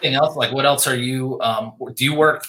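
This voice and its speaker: With an American accent, a man speaks in an unremarkable speaking voice at a medium pitch and with fairly even intonation. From Pennsylvania. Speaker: podcast host. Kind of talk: casual interview.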